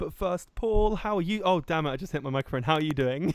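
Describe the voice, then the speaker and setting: The voice has an English accent. Its intonation is lively. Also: man. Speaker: podcast host. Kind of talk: casual chat. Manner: animated.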